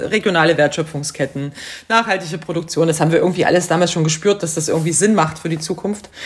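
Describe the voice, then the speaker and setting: Noticeable background noise accompanies a woman's fairly low voice. She speaks at a very fast pace with fairly even intonation. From Saxony, Bautzen. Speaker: creative industry consultant. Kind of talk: casual interview.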